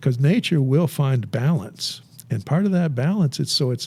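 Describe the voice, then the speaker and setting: A man speaks at a moderate pace in a fairly high, somewhat breathy voice with a dark, mellow tone and ordinary pitch variation. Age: 70s. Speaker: beekeeper. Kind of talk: podcast interview. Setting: studio. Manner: halting, many repetitions.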